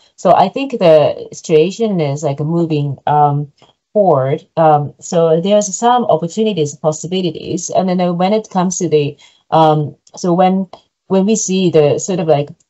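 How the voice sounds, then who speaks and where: A woman with a Japanese accent speaks at a fairly slow pace and a fairly low pitch, with ordinary pitch variation. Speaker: PhD researcher presenting research. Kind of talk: academic seminar Q&A answer. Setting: online seminar video call. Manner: halting, many fillers.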